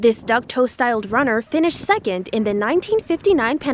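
Her high pitch making very wide swings, a woman talks at a fairly quick pace in a dry sound with no echo. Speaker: student news reporter. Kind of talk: news report narration.

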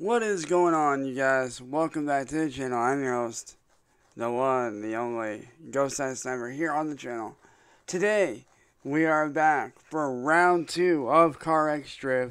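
At a fairly slow pace, a man speaks with ordinary pitch variation. The background is quiet. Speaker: gaming streamer. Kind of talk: casual gaming commentary. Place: home room.

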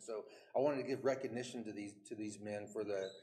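Over light background noise, the speech moves at a very fast pace with fairly even intonation. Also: man. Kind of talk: formal recognition speech. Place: hall.

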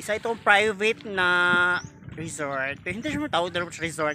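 A man's voice, dry with no echo, over faint music in the background. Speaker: travel vlogger. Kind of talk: casual vlog chat. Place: beach. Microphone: phone near.

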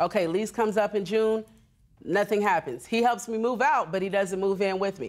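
Animated in tone, a woman speaks at a fairly quick pace with ordinary pitch variation. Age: 30s. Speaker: reality court show litigant. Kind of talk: testimony. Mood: aggrieved, exasperated. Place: stage. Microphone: lapel.

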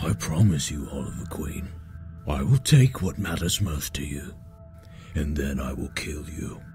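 A man speaks with big swings in loudness. Clear music plays in the background. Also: moderate pace. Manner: menacing, then calm.

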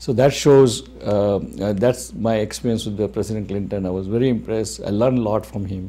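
A fairly low male voice with a dark, mellow tone, a moderate pace, ordinary pitch variation and hardly any pauses. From India, Gujarat. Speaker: physician and media owner; interviewee. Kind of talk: interview. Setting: studio. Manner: halting. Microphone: lapel.

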